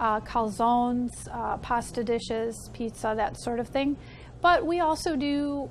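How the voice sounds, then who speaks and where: Over light background noise, a woman speaks at a fairly slow pace in a high pitch with ordinary pitch variation. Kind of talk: interview answer. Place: cafe. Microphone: lapel.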